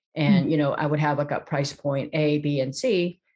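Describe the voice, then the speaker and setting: A woman with an American accent speaks in a very deep, low voice, her pitch rising and falling in an ordinary way. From South Korea, emigrated to US as a child. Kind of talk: interview.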